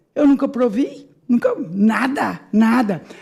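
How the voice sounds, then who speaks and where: Speaking at a very slow pace, a woman has a dark, mellow tone that is somewhat breathy. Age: 70s. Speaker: audience participant. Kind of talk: public hearing speech. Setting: legislative assembly hearing.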